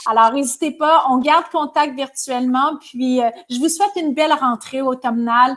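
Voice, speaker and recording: Speaking with a Quebec accent, a woman uses a high pitch with ordinary pitch variation. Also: moderate pace. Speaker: business leader and speaker. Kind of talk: webinar closing remarks.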